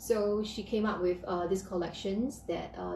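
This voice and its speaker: Noticeable background noise runs under a woman's medium-pitched voice. She keeps a moderate pace and fairly even intonation. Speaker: piano teacher. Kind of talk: live stream talk. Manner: halting.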